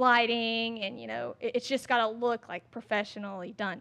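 A woman speaks at a moderate pace with a Southern US accent. Her pitch sits fairly high and her intonation stays fairly even. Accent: Southern American. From US South, Georgia (Statesboro). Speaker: fitness influencer. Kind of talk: casual interview. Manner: talkative.

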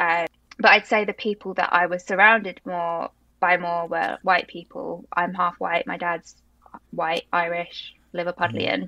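Her tone bright and sharp, a woman with a London accent speaks at a fairly low pitch and a fairly slow pace. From South London, England. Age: 20s. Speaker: PR agency founder. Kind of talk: interview conversation.

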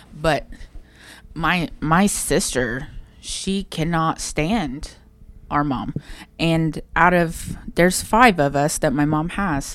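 With an Appalachian accent, a woman speaks very slowly at a fairly low pitch, taking long, frequent pauses, in a very clean recording with a silent background. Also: ordinary pitch variation. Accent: Appalachian Ohio. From southern Ohio, Portsmouth. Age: 30s. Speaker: podcast co-host. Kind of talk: casual chat.

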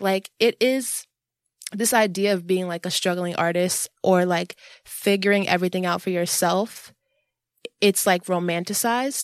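A woman with a plain, everyday voice talks at a moderate pace and medium pitch with ordinary pitch variation, in a dry, close sound with no echo. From New York, Jamaica, Queens. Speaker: visual artist. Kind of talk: casual chat.

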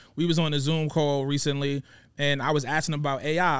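In a New York accent, a man talks over a very clean recording with a silent background. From Brooklyn, New York (Coney Island). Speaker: rapper and music executive. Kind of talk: casual chat. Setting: studio.

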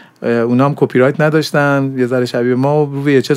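There's noticeable noise behind the speaker. He is a man talking at a very fast pace. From Iran, grew up in Zahedan. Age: 40s. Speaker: animation director and university lecturer. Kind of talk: interview. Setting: studio.

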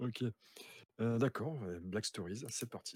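Recorded dry and close with no echo, a man speaks at medium pitch with ordinary pitch variation. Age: 30s. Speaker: streamer and aspiring writer. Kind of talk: casual chat. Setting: video call.

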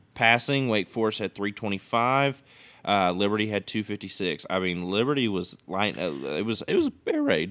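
A man with a plain, everyday voice speaks fairly slowly, his pitch fairly low with ordinary variation. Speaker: podcast host, college sports. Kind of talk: casual sports banter podcast.

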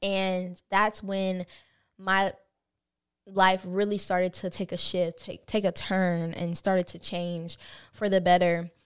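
A woman with a Southern US accent speaks at a fairly slow pace in a monotone, flat intonation. The recording is very clean and the background silent. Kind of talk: casual chat.

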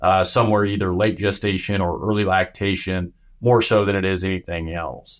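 A man with a Midwestern US accent and a fairly low voice, on a very clean recording with a silent background. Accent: US Midwest. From Nebraska, US Midwest. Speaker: animal scientist, cattle nutrition expert. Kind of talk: interview. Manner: halting, many fillers and repeats.

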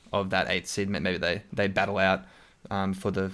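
With an Australian accent, a man is speaking. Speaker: podcast host. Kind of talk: casual chat about basketball.

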